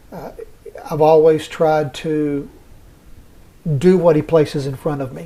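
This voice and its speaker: A man with a Southern US accent speaks at a fairly slow pace, his fairly high, dark, mellow voice held to a flat monotone. His loudness swings widely, and he leaves long, frequent pauses. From US South. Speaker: hospice chaplain. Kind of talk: interview.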